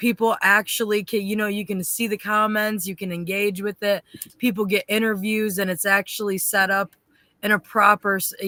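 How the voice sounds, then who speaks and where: Speaking at a moderate pace, a woman sounds bright and sharp in tone. Her intonation is monotone and flat, in a dry, close sound with no echo. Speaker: podcast host. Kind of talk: interview conversation. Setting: livestream podcast. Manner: stutters at times.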